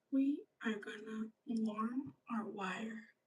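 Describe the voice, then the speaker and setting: A woman speaks at a very slow pace in a fairly high, somewhat breathy voice. Her intonation stays fairly even. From grew up outside Canada, near the ocean. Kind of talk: livestream tutorial. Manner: soft-spoken.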